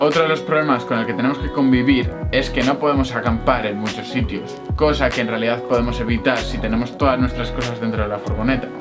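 Clear music plays in the background while a man talks at a very fast pace. He barely pauses and uses ordinary pitch variation. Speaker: vlogger. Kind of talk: casual vlog chat. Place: home room. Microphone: camera far.

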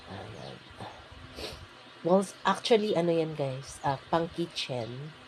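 Her very deep, low voice somewhat breathy, a woman talks at a very slow pace with lively intonation, long, frequent pauses and big swings in loudness. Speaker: vlogger. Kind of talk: voice-over tutorial. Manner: casual, hesitant with fillers.

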